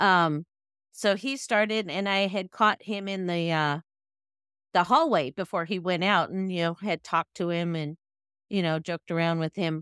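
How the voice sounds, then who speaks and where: In a very clean recording with a silent background and a dry, close sound with no echo, a woman speaks at a moderate pace and fairly low pitch with ordinary pitch variation. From Northern California, Sacramento County. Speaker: retired police dispatcher. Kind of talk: interview testimony.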